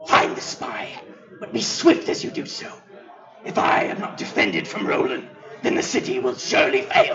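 A man's raspy put-on character voice at a moderate pace, with slight echo and clear background noise. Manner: commanding, scheming.

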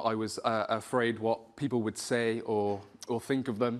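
A man with a Welsh accent and monotone, flat intonation. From South Wales. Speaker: spoken word poet and rapper. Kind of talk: personal story told to an audience. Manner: hesitant, conversational. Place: hall.

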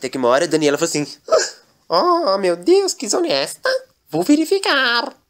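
A man's animated, playful voice at a fairly quick pace over a quiet background. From Brazil. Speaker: comedian and gaming video creator. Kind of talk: comedic storytelling parody, narrating with character voices.

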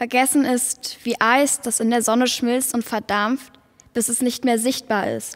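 A woman talks at a fairly slow pace in a high pitch, her intonation monotone and flat. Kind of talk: poetic spoken performance, lines passed between voices.

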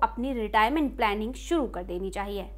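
Over a quiet background, a woman with a bright, sharp tone speaks with very wide pitch swings. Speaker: news presenter. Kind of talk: news explainer read to camera. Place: studio.

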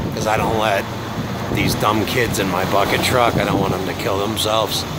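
A man is speaking, and the sound is dry with no echo. Loud background noise runs behind him. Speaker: contractor painting. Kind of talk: casual vlog chat. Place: street. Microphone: phone near.

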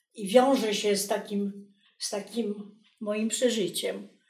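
Audible room echo surrounds a woman with a Polish accent who speaks very slowly at a fairly high pitch. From Poland. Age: 80s+. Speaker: textile artist. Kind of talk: documentary interview answer. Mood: reflective, quiet, reminiscing. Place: home room.

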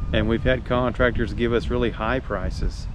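Noticeable background noise surrounds a man whose voice sounds dry with no echo. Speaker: vlogger. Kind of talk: casual vlog chat. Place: open country. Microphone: phone near.

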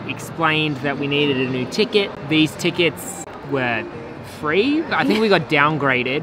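The sound is dry, with no echo. Music plays clearly in the background. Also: moderate pace. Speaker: travel vlogger. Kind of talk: casual vlog chat. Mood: amused, relaxed. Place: station. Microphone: phone near.

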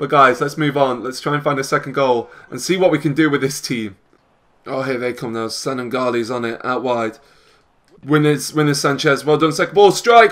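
An animated man with a British accent speaks at a fairly high pitch with ordinary pitch variation. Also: moderate pace. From UK. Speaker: gaming YouTuber. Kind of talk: casual gameplay commentary with live match commentary. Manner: animated, excitable match-call delivery; chatty, upbeat, addresses viewers. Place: home room.

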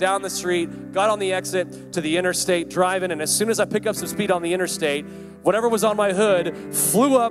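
Clear music sits in the background as a man speaks at a fairly quick pace. His pitch is high, with ordinary pitch variation. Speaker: preacher. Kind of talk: sermon. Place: hall. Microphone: handheld.

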